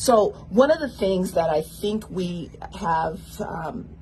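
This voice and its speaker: Through noticeable background noise, a woman talks with an American accent and ordinary pitch variation. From US, South Central Los Angeles. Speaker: political candidate. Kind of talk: radio interview. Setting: radio studio.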